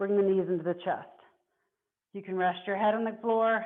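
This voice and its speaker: Medium-pitched female voice with ordinary pitch variation and audible room echo. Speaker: fitness instructor. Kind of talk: workout instruction. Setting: video call. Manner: slow and controlled.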